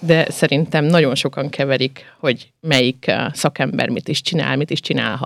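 The recording is very clean with a silent background. Speech moves at a fairly slow pace. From southern Slovakia, Hungarian minority. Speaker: radio host. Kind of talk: radio interview. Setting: radio studio.

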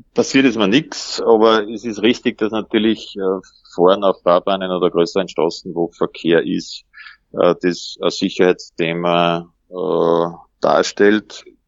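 A normal speaking voice, fairly slow in pace, its pitch varying in an ordinary way. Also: man, fairly low pitch for a man. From Upper Austria, Mühlviertel. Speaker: everyday cyclist. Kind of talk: interview.

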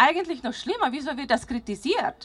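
Bright, sharp female tones swinging through a very wide pitch range. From Slovakia. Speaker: parent climate activist. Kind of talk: rally speech.

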